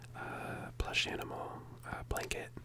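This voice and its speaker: A whisper comes through noticeable background noise. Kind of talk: ASMR video, soft talk to camera. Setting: home recording with microphone at desk. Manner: soft-spoken, whispering.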